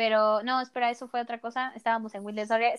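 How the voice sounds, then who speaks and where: A woman's high-pitched voice in a dry, close sound with no echo. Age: 20s. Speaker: podcast co-host, student. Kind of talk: casual chat. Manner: animated.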